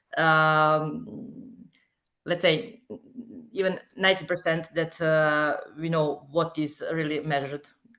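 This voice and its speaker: Speaking at a very slow pace with a Serbian accent, a woman has a very deep, low pitch, a bright, sharp tone and ordinary pitch variation. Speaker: webinar participant. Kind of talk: webinar Q&A. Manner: halting.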